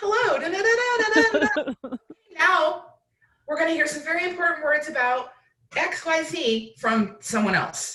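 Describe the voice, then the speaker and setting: A woman does a put-on character voice at an extremely high pitch. She speaks in a sing-song way at a moderate pace. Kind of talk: polite, professional.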